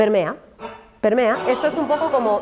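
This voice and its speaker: A woman with a Madrid accent speaks in an animated tone at a moderate pace, her pitch varying in an ordinary way. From Spain, Madrid area (Alcorcón). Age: 40s. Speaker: journalist and speaker on racism in media. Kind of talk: talk to an audience.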